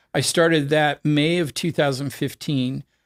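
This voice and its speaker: This man speaks with a US West Coast accent and fairly even intonation. The recording is very clean with a silent background, and the sound is dry and close with no echo. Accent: US West Coast American. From US, Oregon. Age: 60s. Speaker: cancer survivor and distance swimmer. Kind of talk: interview conversation.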